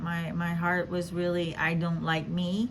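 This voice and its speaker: Somewhat breathy and fairly low in pitch, a woman speaks at a very slow pace with fairly even intonation. Audible room echo surrounds her voice. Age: 50s. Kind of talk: casual devotional talk. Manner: halting, many fillers.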